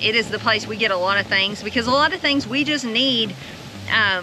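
Over music in the background, a woman speaks at a fairly quick pace with ordinary pitch variation in a dry sound with no echo. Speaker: farm vlogger. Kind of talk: casual vlog chat. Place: farm machine. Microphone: phone near.

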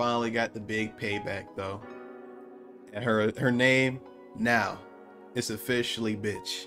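Clear music plays in the background as a man speaks. His pace is fairly slow and his intonation fairly even. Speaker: anime reaction creator. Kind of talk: reaction commentary.

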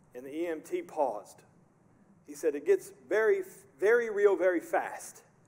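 A man talks with big swings in loudness and long, frequent pauses. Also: fairly slow pace. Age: 40s. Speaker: pastor. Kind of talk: sermon. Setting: church. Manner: animated. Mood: earnest, reflective. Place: church.

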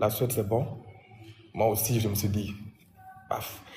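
A man's voice with audible room echo. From Guinea, Conakry. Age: 20s. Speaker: interviewee sharing life story. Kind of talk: personal testimony interview. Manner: halting, repetitive.

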